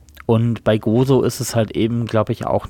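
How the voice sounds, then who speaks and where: Over a silent background on a very clean recording, a man speaks fairly slowly in a fairly low voice with fairly even intonation. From Germany. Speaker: podcast co-host. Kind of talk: casual chat.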